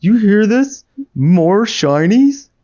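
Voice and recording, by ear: A put-on character voice at a fairly high pitch.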